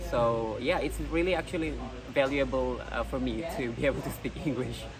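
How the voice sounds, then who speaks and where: A man talks at a moderate pace amid noticeable background noise, with audible room echo around him. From Indonesia. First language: not English. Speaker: pageant contestant. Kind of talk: interview. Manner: hesitant, frequent fillers.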